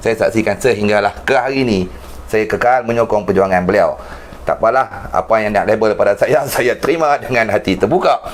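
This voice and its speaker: Over noticeable background noise, a man talks at a fairly quick pace with very even loudness. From Penang, northern Malaysia. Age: 40s. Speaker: online talk show host. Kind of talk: political interview.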